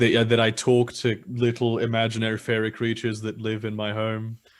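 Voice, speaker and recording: The speaker has a British accent and talks at a moderate pace. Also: man. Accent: sounds British in English. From Germany. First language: German. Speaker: guest. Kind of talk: casual chat.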